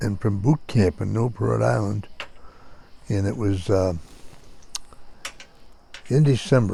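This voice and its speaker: Speaking with an American accent, a man with a fairly low pitch uses lively intonation amid noticeable background noise. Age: old. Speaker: Korean War Navy veteran. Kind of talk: casual storytelling, recorded by family.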